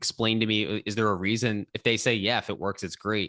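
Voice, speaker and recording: A man speaks loudly at a fairly quick pace, his pitch fairly low and his tone bright and sharp. The sound is dry and close with no echo, over a quiet background. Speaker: podcast host. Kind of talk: casual interview. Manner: fast.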